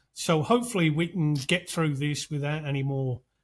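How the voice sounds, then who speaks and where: This man, with a British accent, has a fairly high pitch and a somewhat breathy voice. The recording is very clean, with a silent background. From UK. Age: 60s. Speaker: podcast host. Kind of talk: casual chat.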